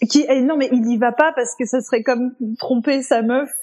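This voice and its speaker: A woman with a high voice and a non-native accent, at a moderate pace with fairly even intonation. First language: not French (speaking French). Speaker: podcast co-host. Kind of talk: casual chat.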